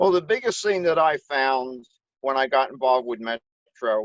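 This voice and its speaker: An unremarkable speaking voice belongs to a man of medium pitch, talking at a fairly slow pace with lively intonation. The sound is dry and close, with no echo. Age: 60s. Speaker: public adjuster. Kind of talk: testimony.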